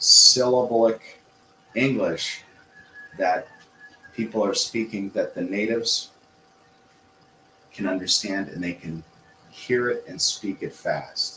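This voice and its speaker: A man speaks at a very slow pace, with long, frequent pauses. Noticeable background noise runs underneath. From US Midwest. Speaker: English teacher. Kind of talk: livestream lesson. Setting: livestream. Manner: clear, deliberate intonation.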